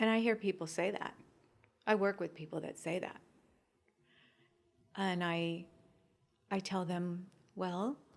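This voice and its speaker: Pausing long and often, a woman speaks at a fairly slow pace with a medium pitch and fairly even intonation. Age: 60s. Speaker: fitness training client and guest. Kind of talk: interview answer.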